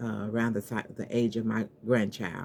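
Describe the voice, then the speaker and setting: Her voice is very deep and low for a woman, dark and mellow in tone, with vocal fry. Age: 60s. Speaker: vlogger, customer service representative. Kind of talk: casual vlog monologue. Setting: home office, on camera. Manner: rambling, halting.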